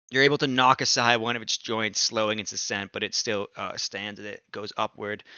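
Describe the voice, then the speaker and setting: A man puts on a raspy character voice at medium pitch, talking fairly quickly with fairly even intonation and hardly any pauses. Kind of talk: tabletop game master combat narration. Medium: actual play. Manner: dramatic, building to emphatic punchlines.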